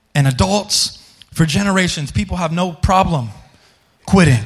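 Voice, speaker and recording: Here a man speaks in an animated tone. His pitch swings very widely. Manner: animated, fervent, conversational, pleading with the congregation; halting, repeating words as he builds momentum.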